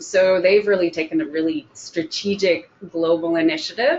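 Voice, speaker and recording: Here is a woman with a plain, everyday voice at medium pitch. She talks at a fairly slow pace with ordinary pitch variation. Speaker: job coach. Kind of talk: webinar presentation. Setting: online event.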